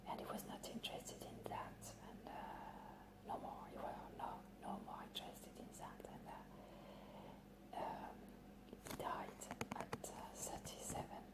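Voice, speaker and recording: Whispering in a French accent at a fairly slow pace, a woman is heard over noticeable background noise. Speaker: librarian. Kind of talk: ASMR roleplay. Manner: whispered.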